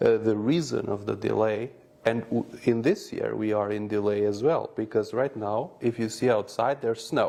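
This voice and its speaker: Man with an Albanian accent, medium pitch, a dark, mellow tone, fairly even intonation and a moderate pace. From North Macedonia, Albanian community. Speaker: businessman. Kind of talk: interview. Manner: hesitant, with filler sounds.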